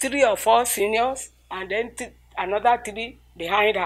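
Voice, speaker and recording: On a very clean recording with a silent background, a woman with a Nigerian accent speaks at a fairly slow pace with ordinary pitch variation. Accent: Nigerian (Yoruba) English. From Nigeria, Ilesha. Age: 80s+. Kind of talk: interview answer.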